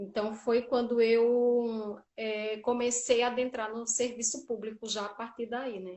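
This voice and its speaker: A woman with a Paraíba accent speaks at a fairly slow pace in a fairly high pitch, hardly pausing, her loudness swinging widely while her intonation stays monotone and flat. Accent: northeastern Brazilian (Paraíba). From Brazil, Paraíba (Campina Grande). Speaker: social worker in public service. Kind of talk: interview.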